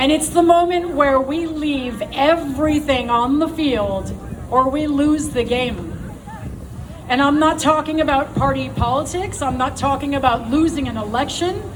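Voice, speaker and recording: A woman talks loudly at a moderate pace, high in pitch with fairly even intonation. Noticeable background noise and audible room echo fill the recording. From United States. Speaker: political activist. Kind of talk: rally speech. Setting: outdoor stage with crowd. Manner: impassioned.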